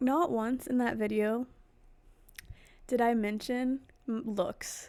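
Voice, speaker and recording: A woman with a high voice talks very slowly, her intonation fairly even. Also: very even loudness. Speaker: vlogger. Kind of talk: casual monologue, ASMR-ish. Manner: quiet, close-mic delivery. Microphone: very close to the mic, possible peaking.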